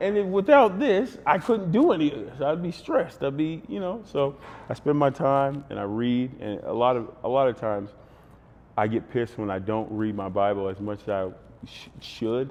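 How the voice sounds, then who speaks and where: Over noticeable background noise, a man with an American accent talks with very wide pitch swings. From Texas, Fort Worth. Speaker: former basketball player and podcaster. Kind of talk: casual podcast interview. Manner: animated, fast and long-winded.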